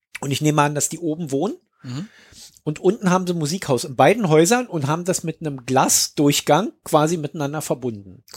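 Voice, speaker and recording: With an unremarkable speaking voice, a man talks at a fairly quick pace, fairly high in pitch with ordinary variation. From East Germany. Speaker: podcast host. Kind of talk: casual chat.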